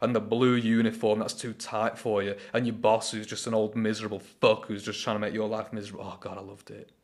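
At a fairly quick pace, a man of medium pitch speaks on a very clean recording with a silent background. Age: 20s. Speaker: solo podcaster. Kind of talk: casual monologue. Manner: animated.

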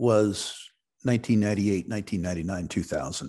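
A man with a plain, everyday voice, fairly low in pitch, with an American accent, ordinary pitch variation and a quiet background. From United States. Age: 60s. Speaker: retired investment executive and resource investor. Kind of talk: interview.

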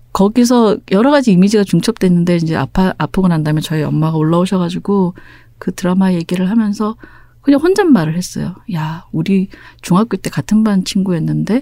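At a fairly quick pace, a woman speaks in a dark, mellow tone. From Busan, South Korea. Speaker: novelist. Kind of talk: interview. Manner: calm, soothing.

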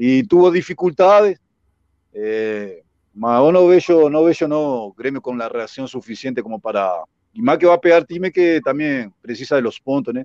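At a moderate pace, the voice makes very wide pitch swings in a dry, close sound with no echo. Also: man, fairly high pitch for a man. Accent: Spanish. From Uruguay. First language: Spanish (speaking Portuguese). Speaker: former footballer. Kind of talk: casual interview.

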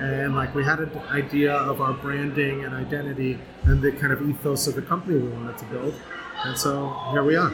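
With music in the background, a man with an American accent talks fairly quickly at a fairly high pitch, his intonation monotone and flat. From Southern California. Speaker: brewery co-owner.

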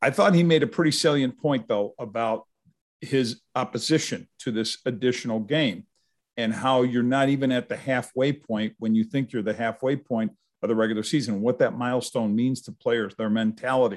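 A man speaks in a plain, everyday voice with an American accent, at a moderate pace and a medium pitch, with ordinary pitch variation against a quiet background. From Upstate New York (Utica). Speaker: retired football writer and author. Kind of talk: casual interview.

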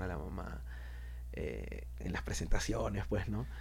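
A man's dark, mellow voice with vocal fry, very wide pitch swings and audible room echo. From Peru. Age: 30s. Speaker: rapper. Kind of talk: interview. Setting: studio.

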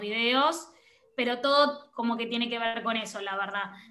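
A woman's bright, sharp, fairly high voice at a moderate pace, with audible room echo. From Argentina. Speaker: photographer and content creator. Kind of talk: interview conversation. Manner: animated.

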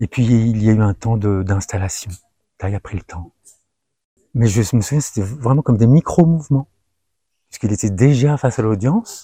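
A man's dark, mellow, somewhat breathy voice carries ordinary pitch variation and long, frequent pauses. The recording is very clean and dry, close with no echo, over a silent background. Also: medium pitch for a man, moderate pace. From France, Algerian parents. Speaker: meditation practitioner sharing testimony. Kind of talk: testimony. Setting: outdoors among trees. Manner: halting.

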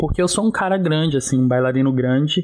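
A man with an ordinary speaking voice talks at fairly high pitch, with ordinary pitch variation. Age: 20s. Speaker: dancer and life coach. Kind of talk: personal testimony.

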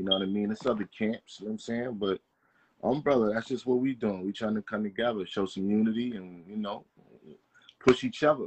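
In an unremarkable speaking voice with an American accent, a man at a fairly low pitch moves at a fairly quick pace with fairly even intonation, recorded with a dry, close sound with no echo. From New Jersey (Englewood). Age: 30s. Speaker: rapper. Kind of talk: casual interview.

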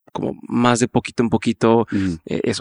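A man speaks at a moderate pace with a northern Mexican accent, medium pitch and ordinary pitch variation, in a dry, close sound with no echo. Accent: northern Mexican (Monterrey) Spanish. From northern Mexico, Monterrey. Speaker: entrepreneur and podcaster. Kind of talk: interview conversation. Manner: direct.

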